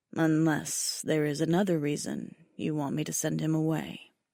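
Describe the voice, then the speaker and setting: Putting on a character voice, a woman speaks at a moderate pace with a very deep, low pitch. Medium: read story. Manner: dry, terse.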